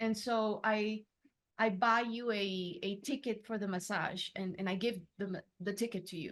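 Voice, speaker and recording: A woman with a Spanish accent speaks at a medium pitch. Her pace is moderate and her intonation fairly even. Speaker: entrepreneur. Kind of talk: coaching session. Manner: halting, searching for words.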